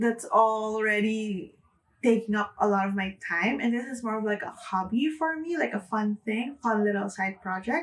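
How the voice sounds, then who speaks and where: This woman's voice is somewhat breathy. Its pitch is fairly high. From Philippines. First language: Filipino (Tagalog). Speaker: book vlogger. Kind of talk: casual vlog talk to camera. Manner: casual, with fillers.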